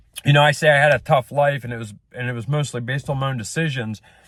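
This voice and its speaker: A man speaks at a fairly high pitch. His pace is fairly quick. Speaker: small business owner and vlogger. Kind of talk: casual rant monologue. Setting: in a truck. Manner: loud.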